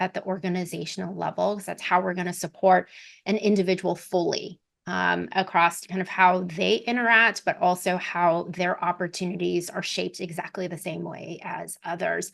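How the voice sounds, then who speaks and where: A woman's medium-pitched voice with vocal fry, fairly even intonation, a moderate pace, hardly any pauses and a quiet background. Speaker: podcast host, talent executive. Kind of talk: interview conversation.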